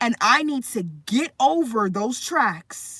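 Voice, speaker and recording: Her tone is bright and sharp. The woman's pitch swings very widely. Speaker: livestreamer. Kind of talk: casual livestream chat about faith. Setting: live stream. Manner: slow.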